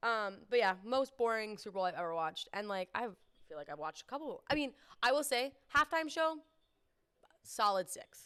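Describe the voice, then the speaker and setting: A woman with a Canadian accent speaks at a moderate pace in a fairly high, bright, sharp voice with an animated tone. Her pitch swings very widely and her loudness shifts in big swings. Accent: Canadian, extended O's. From Canada. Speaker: sports podcast co-host. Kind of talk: casual chat.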